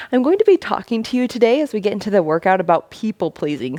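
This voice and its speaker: A woman speaks very fast at a medium pitch, her tone animated with very wide pitch swings. The sound is dry and close with no echo. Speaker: fitness instructor. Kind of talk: workout instruction. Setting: home basement.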